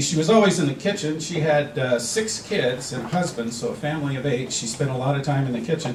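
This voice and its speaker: Speaking fairly quickly at a fairly high pitch with ordinary pitch variation, a man is heard through audible room echo and noticeable background noise. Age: 60s. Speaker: stand-up comedian. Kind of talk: stand-up.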